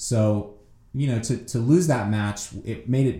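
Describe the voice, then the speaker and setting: A man's somewhat breathy voice, dark, mellow tone, ordinary pitch variation, audible room echo. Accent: American. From United States. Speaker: Olympic fencer. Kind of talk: interview.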